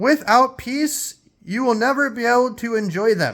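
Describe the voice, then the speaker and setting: On a very clean recording with a silent background, a man speaks loudly in a high voice. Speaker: spiritual teacher. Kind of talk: spiritual talk. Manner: emphatic.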